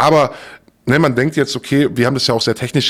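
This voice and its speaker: A man's voice with ordinary pitch variation. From southern Germany, Stuttgart area. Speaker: former darknet market admin. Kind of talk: interview. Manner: measured, thoughtful.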